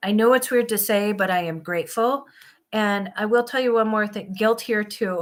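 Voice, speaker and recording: Fairly even intonation from a woman with an American accent. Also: fairly high pitch for a woman, moderate pace. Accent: Minnesota accent, noticed by viewers. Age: 50s. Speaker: van life vlogger. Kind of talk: live stream chat with viewers. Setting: live stream.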